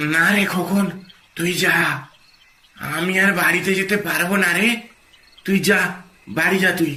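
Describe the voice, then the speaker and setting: A man puts on a cartoonish character voice pitched high. There is audible echo around him. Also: moderate pace. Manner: repetitive, mournful.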